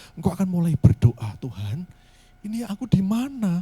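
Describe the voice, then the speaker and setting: Soft-spoken, a man talks at a high pitch with very wide pitch swings and a moderate pace. The sound is dry and close with no echo. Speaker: pastor. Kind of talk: sermon. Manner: halting.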